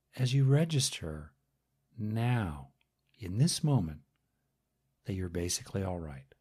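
A man with a calm, soothing, dark and mellow tone, somewhat breathy, at a fairly low pitch with very wide pitch swings, a fairly slow pace and long, frequent pauses. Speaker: guided meditation teacher. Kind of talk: guided meditation. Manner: slow, calm, soothing; pausing often with long silences between phrases.

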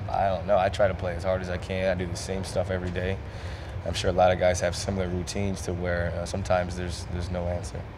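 A man speaks at a very fast pace with a very deep, low pitch. His intonation is monotone and flat over noticeable background noise. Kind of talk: interview answer. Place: hall. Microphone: handheld.

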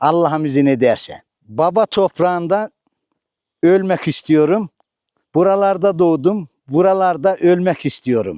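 The tone is dark and mellow, with ordinary pitch variation, a fairly slow pace, very even loudness, and a dry, close sound with no echo. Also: man, high pitch for a man. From Turkey, Sivas Suşehri. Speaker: retiree, villager. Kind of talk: casual interview testimony.

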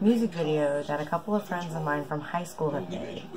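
Music plays behind a woman speaking. Her pitch is fairly low, with ordinary variation. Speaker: vlogger. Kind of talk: casual vlog chat. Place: home room. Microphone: earbuds.

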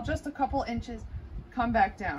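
Over noticeable background noise, a woman talks at a moderate pace in a high pitch. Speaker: physical therapy instructor. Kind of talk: tutorial. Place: garden. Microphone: camera far.

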